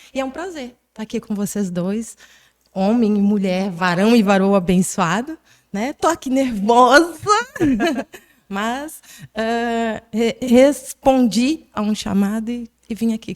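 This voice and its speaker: Pausing long and often, a woman with a southern Brazilian accent speaks at a very slow pace and fairly high pitch with ordinary pitch variation. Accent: gaúcho. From southern Brazil (Rio Grande do Sul). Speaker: pastor. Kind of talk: testimony.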